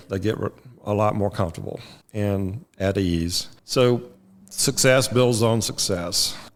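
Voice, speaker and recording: A plain, everyday voice from a man, fairly slow pace, ordinary pitch variation. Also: very clean recording, silent background. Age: 60s. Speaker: trial lawyer. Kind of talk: interview.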